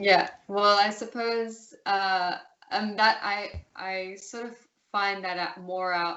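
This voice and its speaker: A woman with an Australian accent speaks at a medium pitch and a very slow pace. Her intonation is monotone and flat, while her loudness swings widely. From Australia, city. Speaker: interview guest. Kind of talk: casual interview. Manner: hesitant, many fillers.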